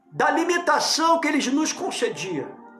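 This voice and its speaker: A man at an extremely high pitch and a fairly slow pace, with music in the background and audible room echo. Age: 60s. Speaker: pastor. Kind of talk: political sermon monologue. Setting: at home, living room.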